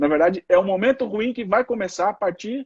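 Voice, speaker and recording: The recording is dry and close, without any echo. The voice belongs to a man. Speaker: lawyer. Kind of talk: casual chat. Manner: halting.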